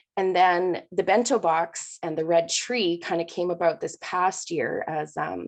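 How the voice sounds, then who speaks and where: A woman's fairly low voice with vocal fry and fairly even intonation over a quiet background. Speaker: primary school teacher. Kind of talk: panel presentation. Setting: video call.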